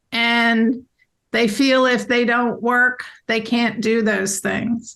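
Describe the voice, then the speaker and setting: The voice has a bright, sharp tone and a monotone, flat delivery. It moves at a very slow pace with very even loudness. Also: woman, fairly high pitch for a woman. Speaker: business owner. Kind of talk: interview.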